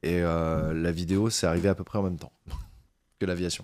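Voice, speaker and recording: A man's very deep, low voice at a moderate pace, with fairly even intonation on a very clean recording against a silent background. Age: 30s. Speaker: YouTuber on aviation and space history. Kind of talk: podcast interview. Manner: hesitant, many fillers.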